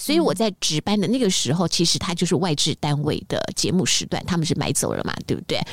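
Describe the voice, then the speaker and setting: At a very fast pace, a woman speaks in an animated tone with lively intonation. Her loudness stays very even. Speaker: radio host. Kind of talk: interview. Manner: animated, laughs loudly.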